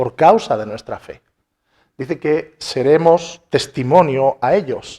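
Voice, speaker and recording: A man speaks at a very slow pace in a fairly high pitch. His intonation is lively. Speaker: pastor. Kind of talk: sermon.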